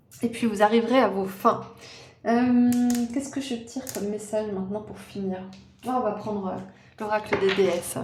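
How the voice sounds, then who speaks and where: A woman with fairly high pitch speaks at a moderate pace with fairly even intonation, long, frequent pauses and big swings in loudness. Noticeable background noise and audible room echo surround her voice. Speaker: tarot reader. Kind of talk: tarot card reading. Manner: casual, hesitant with fillers.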